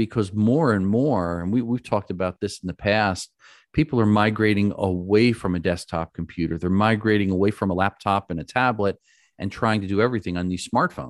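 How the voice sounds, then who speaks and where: A normal speaking voice with an American accent moves at a fairly quick pace with ordinary pitch variation. The sound is dry and close with no echo, over a quiet background. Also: man, fairly low pitch for a man. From New York. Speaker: cybersecurity expert, podcast co-host. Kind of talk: casual chat.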